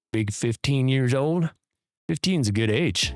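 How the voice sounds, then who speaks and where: With music in the background, a man speaks with lively intonation in a dry, close sound with no echo. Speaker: streamer answering chat questions. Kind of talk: casual livestream Q&A chat. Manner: voice trails off at times.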